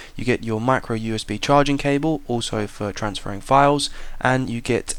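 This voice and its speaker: In a very clean recording with a silent background, a man with a British accent talks at a moderate pace and medium pitch, with ordinary pitch variation. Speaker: tech reviewer. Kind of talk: product review. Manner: casual.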